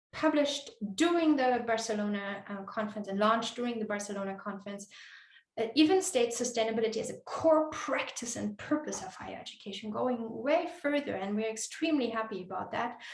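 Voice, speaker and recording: Talking at a fairly quick pace and a fairly high pitch, a woman shows big swings in loudness amid audible room echo. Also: lively intonation. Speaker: conference speaker. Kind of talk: conference presentation. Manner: hesitant, many fillers.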